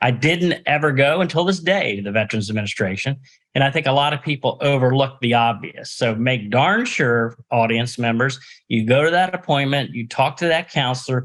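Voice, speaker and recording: Against a quiet background, a man with a normal speaking voice and medium pitch talks at a fairly quick pace with ordinary pitch variation. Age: 60s. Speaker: podcast host, nonprofit executive. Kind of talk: interview.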